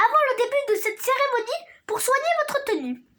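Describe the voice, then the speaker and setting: Putting on a character voice, a woman goes extremely high and squeaky. Her intonation is lively and her pace fairly quick. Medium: read story. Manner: formal, authoritative.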